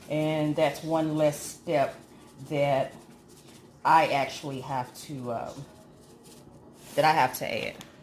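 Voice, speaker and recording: A woman's very deep, low voice with fairly even intonation, against noticeable background noise. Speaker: home cooking channel host. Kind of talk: cooking tutorial.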